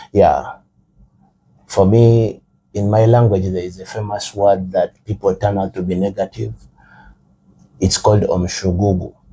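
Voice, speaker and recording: A man speaks fairly slowly in a fairly low, somewhat breathy voice with a dark, mellow tone. His intonation is monotone and flat, broken by long, frequent pauses. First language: Rukiga / Runyankore. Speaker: guest. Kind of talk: casual chat.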